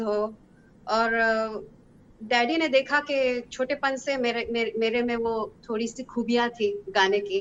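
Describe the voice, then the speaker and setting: Speaking with a Hebrew accent, a woman keeps her intonation fairly even at a fairly high pitch. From Israel. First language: Hebrew (speaking Hindi). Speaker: singer. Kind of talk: interview. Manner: halting.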